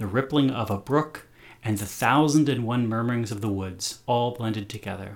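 He moves along at a moderate pace with ordinary pitch variation. The man uses a plain, everyday voice. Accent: American. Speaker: podcast host and reader. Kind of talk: literary audiobook reading of a children's story, with the host voicing characters. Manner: casual, jokey, conversational intro and outro.

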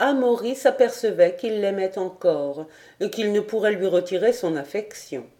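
Simply a natural reading voice

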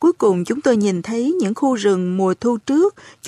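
An unforced reading voice comes through. Its intonation stays lively throughout.

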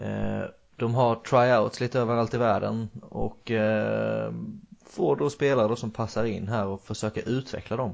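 This man speaks with a Swedish accent. His pace is moderate. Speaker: podcast host, football coach. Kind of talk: casual chat.

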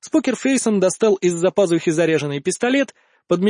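With lively intonation, a speaker reads aloud in a natural voice.

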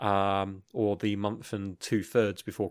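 With a British accent, a man speaks in a fairly low, monotone voice with flat intonation, recorded very cleanly against a silent background. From United Kingdom. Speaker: podcast co-host. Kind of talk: casual chat.

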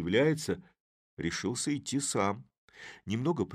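Quiet surrounds the speech. An unforced reading voice moves with lively intonation.

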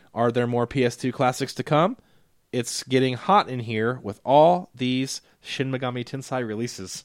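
A man talks in an ordinary speaking voice, his medium pitch showing ordinary variation as he keeps a moderate pace. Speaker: podcast co-host. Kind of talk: casual chat.

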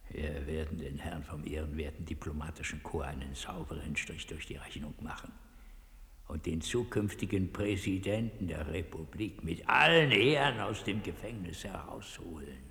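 Using a put-on character voice, a man speaks extremely low with vocal fry and ordinary pitch variation. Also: moderate pace, fairly bright tone.

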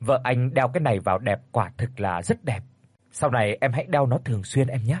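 With ordinary pitch variation, the speaker reads in an unforced reading voice.

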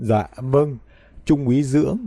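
Here we hear an unforced reading voice.

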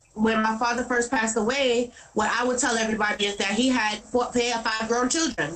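Noticeable background noise sits behind a woman with a New York accent. She talks at a fairly quick pace in a high pitch for a woman. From New York City, Brooklyn (Brownsville). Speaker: activist, daughter of police violence victim. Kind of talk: interview.

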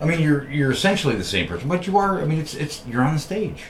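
With an American accent, a man talks at a fairly quick pace and with lively intonation. Noticeable background noise runs underneath. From New York. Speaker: podcast host. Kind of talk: interview, casual chat. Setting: studio.

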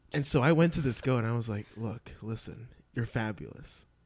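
A man talks in a normal speaking voice at a medium pitch, fairly quickly, with ordinary pitch variation. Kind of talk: casual chat.

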